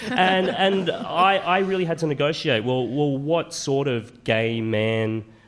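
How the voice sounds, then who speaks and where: Noticeable background noise surrounds a man with an Australian accent and a fairly high voice. He talks at a fairly slow pace with very wide pitch swings. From Queensland, Australia. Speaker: author and commentator. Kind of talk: panel discussion.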